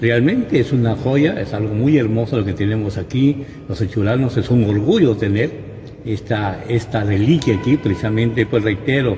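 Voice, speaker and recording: A man with ordinary pitch variation talks at a moderate pace as noticeable background noise carries on behind him. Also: medium pitch for a man. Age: 60s. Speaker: local church historian. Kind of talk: interview. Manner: hesitant, with repetitions.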